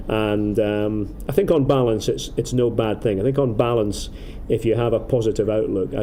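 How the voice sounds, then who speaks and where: A man at a medium pitch with an Aberdeen accent, a dark, mellow tone and a moderate pace, plus audible room echo. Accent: Scottish, Aberdeen. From Scotland, Aberdeen. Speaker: football commentator. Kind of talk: casual interview. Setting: outdoors in a city. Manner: halting, many repetitions.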